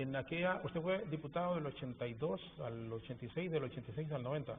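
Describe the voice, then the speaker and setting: This man rattles along very fast. He speaks at a fairly high pitch. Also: ordinary pitch variation. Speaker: TV interviewer. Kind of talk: TV interview.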